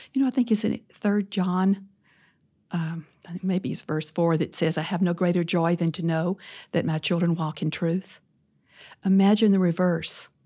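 A woman with a Southern accent and a dark, mellow tone at fairly low pitch, at a moderate pace with ordinary pitch variation and long, frequent pauses, in a very clean recording with a silent background. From US South, Louisiana. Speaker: former church leader. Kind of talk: interview.

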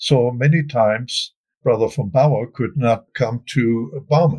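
A man with a German accent, somewhat breathy, at a fairly slow pace. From Germany, Wuppertal. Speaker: family historian. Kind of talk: interview.

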